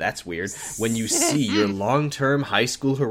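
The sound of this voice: The recording carries an unforced reading voice.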